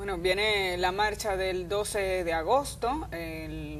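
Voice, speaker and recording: Audible room echo surrounds a woman's voice. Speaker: news commentator. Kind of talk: opinion commentary.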